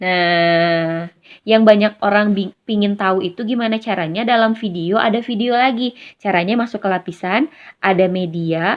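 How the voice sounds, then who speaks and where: Moderate pace and ordinary pitch variation. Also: woman, medium pitch for a woman. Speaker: YouTuber. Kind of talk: tutorial. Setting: recorded on phone with earphone mic. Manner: casual.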